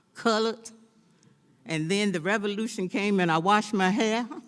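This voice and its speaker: Recorded very cleanly over a silent background, a woman talks at medium pitch and a moderate pace. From US South, North Carolina. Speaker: former city council member. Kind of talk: speech at a celebration. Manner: drops word endings.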